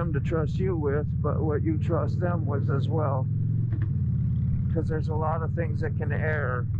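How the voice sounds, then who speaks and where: Loud background noise fills a dry sound with no echo. A man talks at a moderate pace. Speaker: motorcycle rider vlogger. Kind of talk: casual vlog chat. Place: motorbike.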